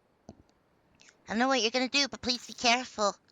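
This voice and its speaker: Putting on a character voice, a woman talks very fast in a high pitch with monotone, flat intonation. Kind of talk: read-aloud visual novel dialogue. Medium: game stream.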